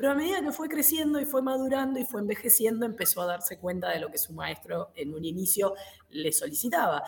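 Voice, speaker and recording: With noticeable background noise behind her, a woman talks at a fairly quick pace in a fairly high pitch with very wide pitch swings. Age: 40s. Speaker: karate instructor. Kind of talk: casual chat.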